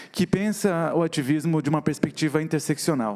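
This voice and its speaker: Ordinary pitch variation marks this man's speech. His pitch sits fairly high. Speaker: activist and visual artist. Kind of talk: talk on stage. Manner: fast.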